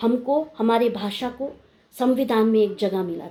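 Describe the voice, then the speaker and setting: A woman with a Nepali accent, over noticeable background noise. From India, Darjeeling hills (Indian Gorkha). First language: Nepali (speaking Hindi). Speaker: video blogger. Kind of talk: informal talk to camera.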